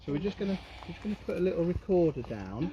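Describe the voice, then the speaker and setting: A man's fairly quick delivery with lively intonation. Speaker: paranormal investigator. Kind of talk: casual talk during a paranormal investigation. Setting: outdoors in woods, livestreamed. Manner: calm, soothing.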